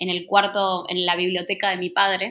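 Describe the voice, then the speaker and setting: A woman's bright, sharp tone comes through against a quiet background. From Argentina. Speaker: NGO communications coordinator. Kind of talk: interview.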